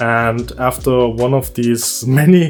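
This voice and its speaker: With music in the background, a man with a German accent speaks at a medium pitch with ordinary pitch variation. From Germany. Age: 30s. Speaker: YouTuber and music producer. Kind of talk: personal story vlog.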